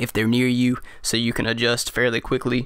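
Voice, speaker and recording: Over a silent background in a very clean recording, a man talks fairly quickly at a medium pitch. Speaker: gaming YouTuber. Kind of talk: tutorial. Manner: fast; halting, self-correcting.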